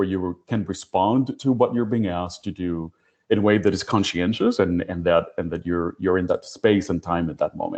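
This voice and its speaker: A man with a Spanish accent at a moderate pace, with ordinary pitch variation. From Puerto Rico. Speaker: HR professional, panelist. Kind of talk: panel discussion.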